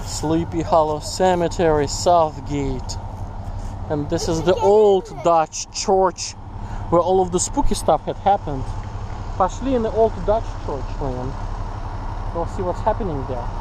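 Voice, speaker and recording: Over noticeable background noise yet with a dry sound and no echo, a man with a high pitch speaks at a fairly slow pace with ordinary pitch variation and long, frequent pauses. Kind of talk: casual vlog chat. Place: open country. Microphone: phone near.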